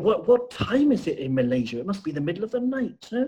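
A man's fairly quick speech with big pitch swings and a dark, mellow tone

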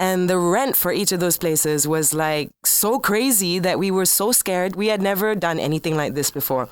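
A woman speaks in an unremarkable speaking voice at a moderate pace and medium pitch, with ordinary pitch variation, very even loudness and hardly any pauses. The recording is very clean, with a silent background. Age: 30s. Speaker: bar owner, former radio host. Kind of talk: casual interview.

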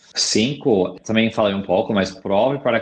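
This man speaks with an American accent. His pitch is fairly low. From US, California. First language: English (speaking Portuguese). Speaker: product marketing director. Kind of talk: interview.

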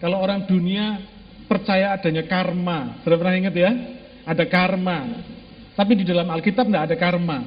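Talking at a fairly quick pace and high pitch, a man is heard with audible room echo and noticeable background noise. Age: 50s. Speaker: pastor. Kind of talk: sermon. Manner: animated.

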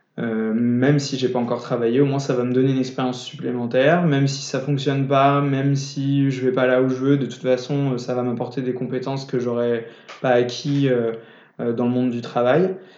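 Speaking at a moderate pace, a man has medium pitch and monotone, flat intonation. Audible room echo and noticeable background noise surround his voice. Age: 20s. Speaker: young entrepreneur, startup founder. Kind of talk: casual interview. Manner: halting, frequent repetitions.

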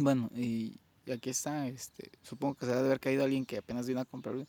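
With a Mexican accent, a man speaks at a medium pitch with ordinary pitch variation. The pace is fairly quick and the sound dry and close with no echo. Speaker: podcast co-host. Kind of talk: casual chat.

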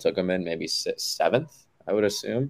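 At a fairly quick pace, a man talks at a medium pitch in an ordinary speaking voice. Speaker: fantasy football league commissioner. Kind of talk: casual chat.

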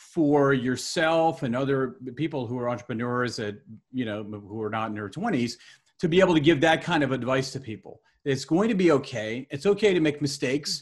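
Somewhat breathy, this man's voice has a fairly high pitch. His intonation is lively and his pace is moderate. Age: 50s. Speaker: technology lawyer and podcast host. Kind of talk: interview.

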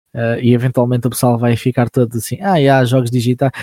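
Dry and close with no echo, a man's medium-pitched voice has a dark, mellow tone at a fairly quick pace. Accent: European Portuguese. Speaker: voice actor and YouTuber. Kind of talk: casual chat.

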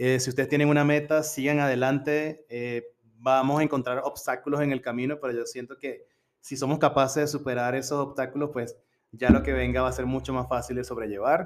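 A man's medium-pitched voice moves at a fairly quick pace with a monotone, flat intonation. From Venezuela, Coro (Falcón state). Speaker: university language teacher, international student. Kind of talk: casual interview.

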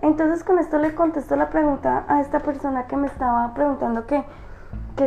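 The pace is fairly quick as a woman speaks. Her pitch variation is ordinary. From rural Colombia. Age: 30s. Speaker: energy healer and livestream host. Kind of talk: live-streamed talk to viewers. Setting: live stream.

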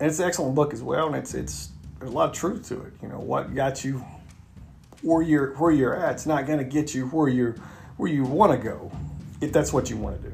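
Long, frequent pauses and big swings in loudness mark a man's fairly even intonation, heard with audible room echo. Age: 40s. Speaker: podcast host and self-help author. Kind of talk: solo motivational monologue. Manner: halting, many fillers and repetitions.

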